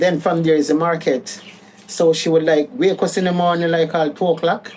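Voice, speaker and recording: A woman with a Jamaican accent talks at a moderate pace in a fairly low pitch with fairly even intonation, with noticeable background noise behind her. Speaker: caregiver daughter. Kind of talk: interview. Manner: casual.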